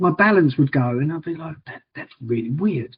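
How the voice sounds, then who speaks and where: Lively intonation marks a man speaking with an Essex accent. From Liverpool, England. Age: 40s. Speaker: wheelchair challenge fundraiser with MS. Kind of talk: podcast interview. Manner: repetitive stammering starts.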